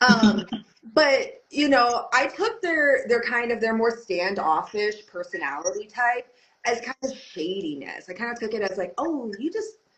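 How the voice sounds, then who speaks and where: The voice is loud and delivered at a fairly slow pace, with very wide swings in pitch. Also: woman, high pitch for a woman. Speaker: belly dance teacher. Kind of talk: podcast interview.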